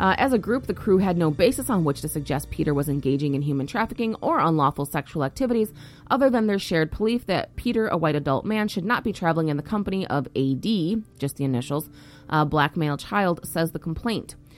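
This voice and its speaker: A woman speaks very fast in a fairly low pitch, her voice swinging very widely up and down, with music playing in the background. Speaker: podcast host. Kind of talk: solo news commentary. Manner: casual, frequent fillers.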